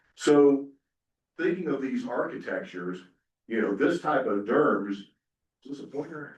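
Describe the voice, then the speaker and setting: Here a man speaks with a slight Southern US accent. His intonation is lively. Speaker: software company representative, panelist. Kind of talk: conference presentation. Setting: conference breakout session with audience. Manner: casual, filler-heavy.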